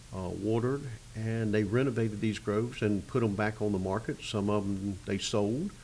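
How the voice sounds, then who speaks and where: With a Florida accent, a man talks at a fairly low pitch in a monotone, flat intonation. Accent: Southern US (Florida). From Arcadia, Florida. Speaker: citrus grower, agribusiness president. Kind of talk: oral history interview answer. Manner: hesitant, casual.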